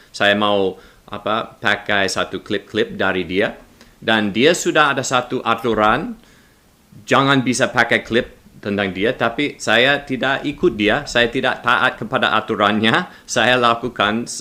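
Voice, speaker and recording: A man with an English accent and a bright, sharp tone speaks at a medium pitch and a fairly slow pace, with ordinary pitch variation. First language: English (speaking Indonesian). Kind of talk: religious commentary monologue. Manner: halting.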